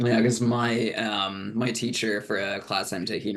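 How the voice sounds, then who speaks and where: A man's ordinary speaking voice, medium in pitch, at a fairly slow pace. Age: 30s. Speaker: reading group participant, student. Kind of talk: casual chat.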